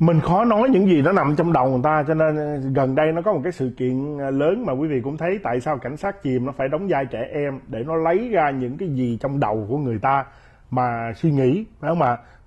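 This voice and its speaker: Somewhat breathy speech at a moderate pace with hardly any pauses. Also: man, lively intonation, quiet background. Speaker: commentator. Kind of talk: interview. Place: studio. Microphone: lapel.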